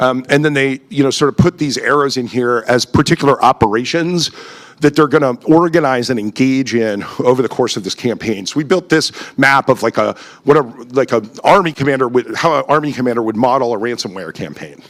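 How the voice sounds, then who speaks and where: A man talks at a medium pitch. His pace is fairly quick, and his pitch varies in an ordinary way. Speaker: conference speaker. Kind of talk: conference talk. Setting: stage with audience. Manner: fast; halting, many fillers.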